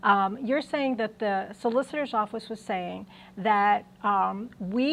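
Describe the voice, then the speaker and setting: Against a quiet background, a woman with an American accent talks at a fairly slow pace. Her pitch is fairly high, with ordinary pitch variation. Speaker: university lecturer. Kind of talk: lecture. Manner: halting, many fillers.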